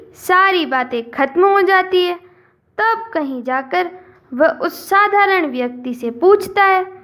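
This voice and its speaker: Her pitch extremely high, a woman speaks with lively intonation. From Rajasthan, India. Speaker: storyteller. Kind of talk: moral story narration.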